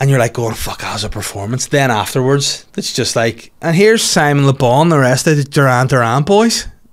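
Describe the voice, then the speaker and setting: A man with a Northern Irish accent, lively intonation, a fairly quick pace, hardly any pauses and a quiet background. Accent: Northern Irish (Belfast). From Northern Ireland. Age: 30s. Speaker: comedian and podcast host. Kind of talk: casual solo chat. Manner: animated. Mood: jokey, sarcastic. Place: studio. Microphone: studio mic.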